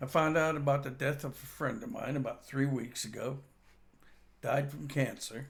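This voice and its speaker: A man with an American accent speaks at a moderate pace in a fairly high, somewhat breathy voice with ordinary pitch variation. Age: 60s. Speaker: vlogger. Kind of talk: personal storytelling monologue. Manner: halting, with frequent fillers.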